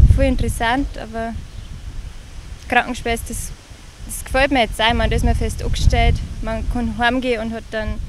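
Over noticeable background noise, a woman speaks at a moderate pace, the sound dry with no echo. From Upper Palatinate, Bavaria, Germany. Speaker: nurse and calendar model from a farming family. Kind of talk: interview answer. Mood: relaxed, slightly shy. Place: farm machine. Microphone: handheld.

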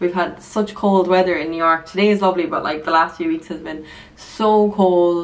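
A woman with an Irish accent speaks in a fairly low pitch at a moderate pace, her intonation fairly even. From Ireland. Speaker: lifestyle vlogger. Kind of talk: casual vlog talk to camera; sponsored product segment. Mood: relaxed, friendly. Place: bathroom. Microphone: phone near.

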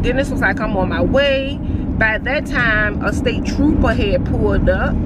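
Over loud background noise, a woman speaks at a moderate pace, the sound dry with no echo. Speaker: vlogger. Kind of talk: casual vlog chat, storytelling. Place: car. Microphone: phone near.

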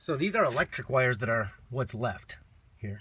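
Ordinary pitch variation marks a man talking at a fairly quick pace in a dry sound with no echo. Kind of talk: casual vlog chat. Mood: relaxed, a bit hurried. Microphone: phone near.

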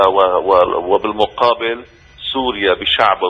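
The man in this clip speaks at a moderate pace. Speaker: media center head, political analyst; political analyst. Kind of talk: radio interview, political commentary. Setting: phone call. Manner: emotional. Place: studio.

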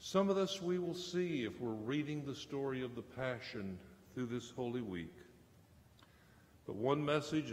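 Speaking at a medium pitch with lively intonation, a man talks at a fairly slow pace amid audible room echo.

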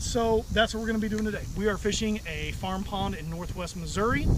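Loud background noise surrounds a man talking at a moderate pace. His voice sounds dry with no echo. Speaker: fly fishing vlogger. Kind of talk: casual vlog chat. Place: waterside.

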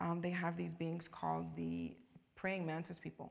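Delivered in a Los Angeles accent, the speech moves at a fairly quick pace. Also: woman. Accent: Los Angeles American English. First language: Spanish. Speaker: actress. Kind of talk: casual interview. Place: studio.

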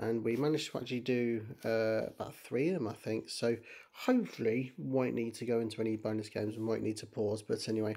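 A man talks quietly at a moderate pace. His tone is dark and mellow. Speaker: gaming streamer. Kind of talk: game commentary.

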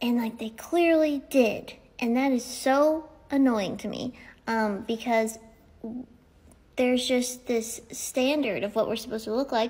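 The woman's pitch is high, with ordinary variation. She talks at a fairly slow pace, leaving long, frequent pauses. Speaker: social media creator. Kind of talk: casual vlog rant. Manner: casual, chatty, jokey. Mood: annoyed, ranting. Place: home room. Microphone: phone near.

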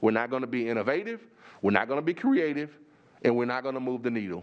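A man talks at a very fast pace. His tone is animated, with very wide pitch swings. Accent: Texas. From Texas. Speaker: superintendent candidate. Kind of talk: job interview. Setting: board meeting room. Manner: repetitive, halting restarts.

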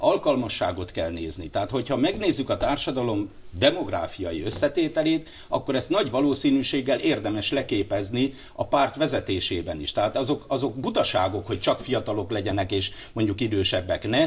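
Pitch swings very widely as the speech moves along fairly quickly. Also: man. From Hungary. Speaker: politician. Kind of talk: TV interview. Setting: studio. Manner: halting. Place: studio. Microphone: lapel.

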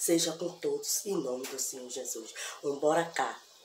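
Moderate-paced speech from a woman amid light background noise and audible room echo. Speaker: home cooking vlogger. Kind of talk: casual vlog chat. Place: kitchen.

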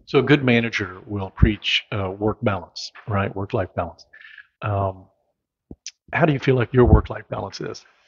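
Somewhat breathy and fairly low, a man's voice with an American accent shows ordinary pitch variation and big swings in loudness. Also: moderate pace, quiet background. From US Midwest. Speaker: local community show host. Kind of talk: casual interview. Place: meeting room. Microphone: handheld.

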